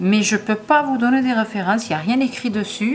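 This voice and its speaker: Music plays behind a woman who talks at a fairly quick pace with lively intonation. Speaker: crochet tutorial creator. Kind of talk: tutorial. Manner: hesitant, many fillers.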